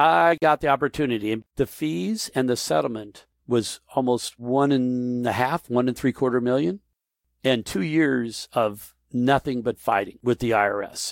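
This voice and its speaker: In a plain, everyday voice, the speaker goes at a moderate pace with ordinary pitch variation and a dry, close sound with no echo. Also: man, medium pitch for a man. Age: 60s. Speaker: entrepreneur. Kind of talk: interview storytelling.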